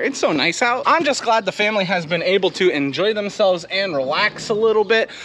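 This man's intonation is lively. He uses a raised, projected voice. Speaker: farmer vlogger. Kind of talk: casual vlog chat. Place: farm machine. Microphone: phone near.

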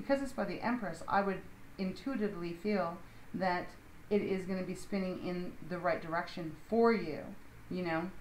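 The voice shows ordinary pitch variation, with audible room echo and light background noise. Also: woman. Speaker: tarot reader. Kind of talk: tarot reading commentary. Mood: calm, slightly cautious. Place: home room.

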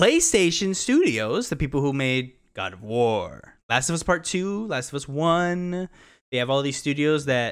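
A man with a normal speaking voice talks at a fairly slow pace with lively intonation. The background is quiet. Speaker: gaming podcast co-host. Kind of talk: casual chat. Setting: video call. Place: home room. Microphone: studio mic.

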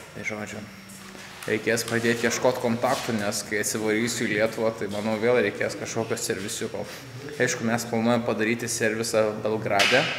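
A man speaks in a monotone, flat intonation. Music plays in the background. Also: fairly quick pace. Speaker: travel vlogger. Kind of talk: casual vlog chat. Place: garage. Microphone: lapel.

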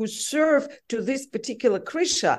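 A woman speaks with a Russian accent in a high voice. Her pace is fairly slow and her intonation lively. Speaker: journalist. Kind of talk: interview.

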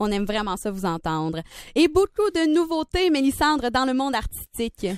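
A woman with a high voice at a moderate pace, very wide pitch swings, dry sound with no echo, and a quiet background. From Quebec. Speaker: student radio host. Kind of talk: simulated drive-time radio show. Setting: studio. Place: studio.

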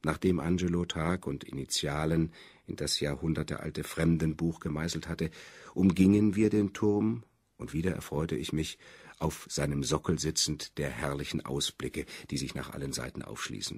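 A man speaks with a very deep, low pitch and vocal fry. His pitch varies in an ordinary way, in a very clean recording with a silent background. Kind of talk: literary audiobook reading. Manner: measured, even and unhurried, formal literary delivery.

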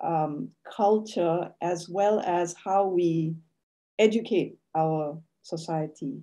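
Speaking at a very slow pace, the woman keeps ordinary pitch variation. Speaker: academic. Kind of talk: lecture. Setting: video call. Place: home room. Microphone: video call.

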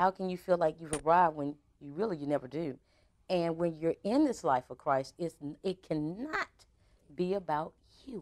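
A woman with a fairly low voice speaks in an animated tone at a moderate pace against a quiet background. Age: 30s. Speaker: radio talk show host. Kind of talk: casual interview. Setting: studio. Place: studio.

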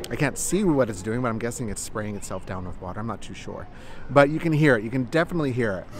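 A man talks at a very fast pace with lively intonation, in a dry sound with no echo and light background noise. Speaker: travel vlogger. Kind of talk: casual vlog chat.

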